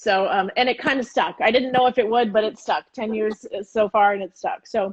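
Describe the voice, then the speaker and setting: With an ordinary speaking voice, a woman talks at a moderate pace, her fairly high pitch showing ordinary variation. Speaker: chef and cooking teacher. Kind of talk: cooking demonstration on a live stream. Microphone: phone with headphones.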